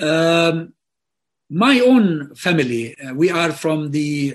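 With an Arabic accent, a man talks in a fairly high pitch with lively intonation. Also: quiet background. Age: 60s. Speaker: political commentator. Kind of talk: interview. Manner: halting.

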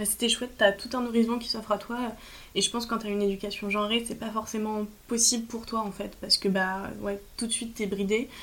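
A woman's fairly high voice, monotone and flat in intonation, at a fairly quick pace. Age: 20s. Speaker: former student. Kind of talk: testimony. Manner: halting.

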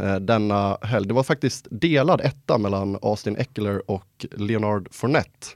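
A man with a normal speaking voice talks at a moderate pace and a medium pitch, with ordinary pitch variation, in a dry, close sound with no echo. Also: very clean recording, silent background. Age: 20s. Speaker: podcast host. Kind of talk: casual chat.

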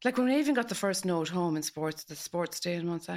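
A woman talks at a moderate pace. She speaks with a western Irish accent. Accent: Irish, west of Ireland. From west of Ireland. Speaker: host's mother. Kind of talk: casual chat.

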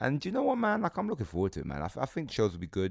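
The voice has vocal fry and very wide pitch swings, and it moves at a very fast pace. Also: man, very clean recording, silent background. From England. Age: 20s. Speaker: comedian and podcast host. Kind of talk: casual chat. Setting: private house.

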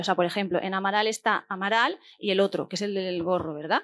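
On a very clean recording with a silent background, a woman rattles along at a very fast pace. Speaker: podcast host. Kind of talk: live podcast recording; scripted narration. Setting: stage with audience.

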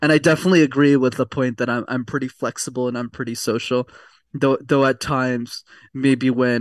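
A very fast-paced man with a Canadian accent, medium in pitch, in a dry, close sound with no echo against a quiet background. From Quebec, Montreal. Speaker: communication coach. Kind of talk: casual interview.

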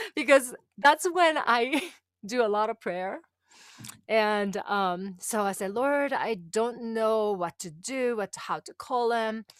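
A woman with a Japanese accent speaks at a fairly high pitch and a very slow pace, with lively intonation and big swings in loudness. The recording is very clean, with a silent background and a dry, close sound with no echo. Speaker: women's empowerment coach. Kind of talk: interview, personal testimony.

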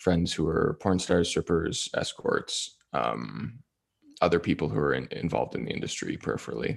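This voice moves at a moderate pace, with vocal fry and lively intonation. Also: man, very deep, low pitch for a man. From Toronto, Canada. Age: 20s. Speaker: webcam model and podcaster. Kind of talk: casual interview.

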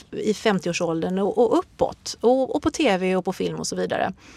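In a normal speaking voice, a woman talks with lively intonation and a dry, close sound with no echo. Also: very clean recording, silent background. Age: 40s. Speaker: yoga instructor and author. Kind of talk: interview.

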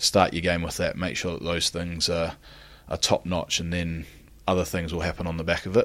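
Recorded very cleanly against a silent background, a man with a New Zealand accent talks at a fairly quick pace in a very deep, low pitch and monotone, flat intonation. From New Zealand, Christchurch. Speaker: rugby player. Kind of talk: interview. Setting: in Japan.

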